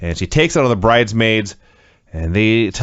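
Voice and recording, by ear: With ordinary pitch variation, someone reads aloud in a natural voice.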